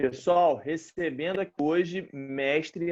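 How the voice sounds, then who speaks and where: A man with an ordinary speaking voice, its pitch fairly high and its variation ordinary. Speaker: interviewer, kung fu instructor. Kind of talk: interview. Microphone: connection cutting out.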